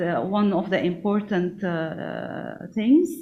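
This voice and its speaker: Audible room echo surrounds a woman's medium-pitched voice and lively intonation. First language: not English. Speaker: national SME policy coordinator. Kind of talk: conference panel remarks. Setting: conference event. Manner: halting, many fillers.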